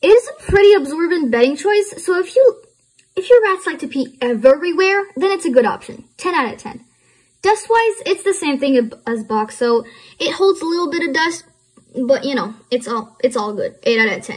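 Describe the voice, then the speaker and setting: A woman with a non-native accent and an extremely high pitch, at a moderate pace, with very wide pitch swings and big swings in loudness. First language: not English. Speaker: pet care YouTuber. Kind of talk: informational review. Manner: occasional stumbles over words.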